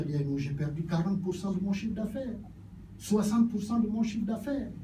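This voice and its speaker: A man speaks at a high pitch and a fairly quick pace. His intonation is lively, and the room echo is audible. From Gabon. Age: 70s. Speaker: politician. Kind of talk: political speech.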